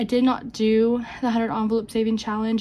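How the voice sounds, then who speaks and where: This woman speaks at a fairly quick pace in a fairly high, somewhat breathy voice. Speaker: budgeting vlogger. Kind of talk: casual vlog talk. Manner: halting.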